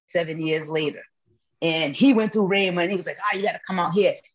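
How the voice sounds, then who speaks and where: Fairly low in pitch with fairly even intonation, a woman speaks in a plain, everyday voice. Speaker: missionary preacher. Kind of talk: testimony in interview.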